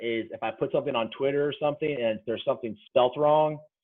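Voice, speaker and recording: The speaker is a man with ordinary pitch variation. He moves along at a fairly quick clip. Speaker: football coach and software trainer. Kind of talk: tutorial. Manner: fast.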